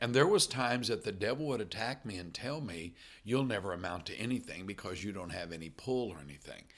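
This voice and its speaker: With an American accent, a man talks at a fairly quick pace in a bright, sharp tone. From US Midwest, Illinois. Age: 50s. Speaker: missions director and former missionary pastor. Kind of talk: interview conversation.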